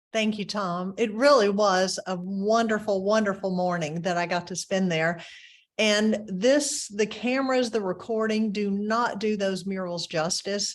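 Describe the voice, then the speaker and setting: A woman with a plain, everyday voice speaks fairly slowly at a medium pitch, using ordinary pitch variation. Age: 60s. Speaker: webinar host. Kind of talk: webinar presentation. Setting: webinar.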